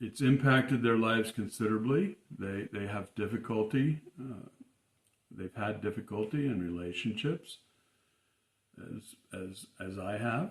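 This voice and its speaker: Speaking at a fairly slow pace, a man uses a medium pitch. His voice is somewhat breathy, with ordinary pitch variation. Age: 60s. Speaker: personal storyteller. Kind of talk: personal testimony monologue. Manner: halting, many fillers and repetitions.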